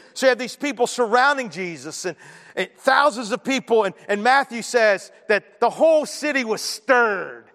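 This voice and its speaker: A loud, high-pitched man at a moderate pace with lively intonation, in a dry, close sound with no echo. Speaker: pastor. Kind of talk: sermon. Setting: church. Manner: animated.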